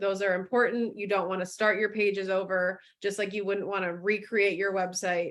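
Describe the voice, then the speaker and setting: A woman's medium-pitched, plain, everyday voice with ordinary pitch variation. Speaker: marketing director presenting a webinar. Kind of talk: webinar presentation.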